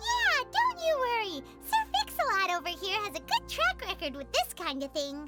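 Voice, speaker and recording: A put-on character voice, squeaky, with very wide pitch swings. It moves at a moderate pace over clear music in the background. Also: woman, extremely high pitch for a woman. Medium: video game. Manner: composed, steady.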